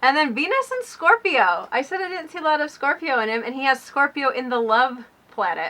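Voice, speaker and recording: In a raised, projected voice, a woman speaks fairly quickly at a high pitch with very wide pitch swings. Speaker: YouTube co-host. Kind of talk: casual chat.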